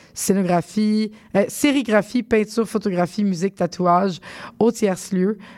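At a moderate pace and a medium pitch, a woman talks in an ordinary speaking voice. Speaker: radio host. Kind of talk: radio show hosting. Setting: studio.

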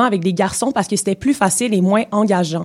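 A woman talks at a fairly quick pace with a normal speaking voice, medium in pitch and ordinary in its pitch variation. The recording is very clean, with a silent background. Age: 20s. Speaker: radio columnist. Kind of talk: scripted column reading. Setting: radio studio.

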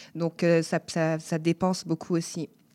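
In a very clean recording with a silent background, a woman with a fairly low pitch speaks at a fairly slow pace in a dark, mellow tone. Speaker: dancer and choreographer. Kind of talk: interview.

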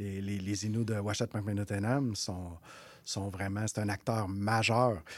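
Recorded very cleanly against a silent background, this man talks at a fairly slow pace in a fairly low pitch with monotone, flat intonation. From Quebec North Shore, Innu community. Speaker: executive director of a First Nations economic development organization. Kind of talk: radio interview. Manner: halting, many repetitions.

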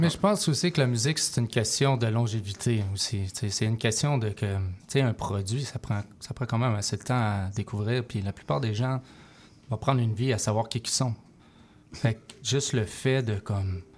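A man with a Quebec accent speaks at a moderate pace with a medium pitch, ordinary pitch variation, and a somewhat breathy quality. The recording is very clean, with a silent background. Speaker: rapper. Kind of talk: interview. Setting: studio. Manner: mixes English phrases.

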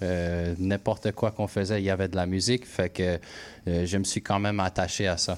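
With an English accent, a man with a very deep, low pitch speaks at a moderate pace in monotone, flat intonation. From Quebec, anglophone household. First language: English (speaking French). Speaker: musician, rapper. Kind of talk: radio interview. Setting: radio studio. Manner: halting, many repetitions.

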